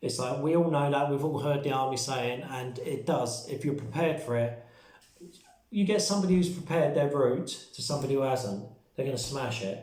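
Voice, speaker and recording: A man with a fairly high voice speaks in a British accent, with audible room echo. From UK. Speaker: survival and prepping vlogger. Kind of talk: casual vlog talk. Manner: fast; hesitant with fillers.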